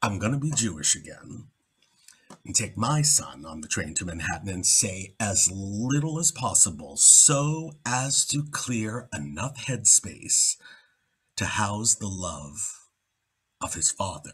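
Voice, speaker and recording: Very slowly, a man speaks with very wide pitch swings. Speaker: actor. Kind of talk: poetry reading. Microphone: webcam.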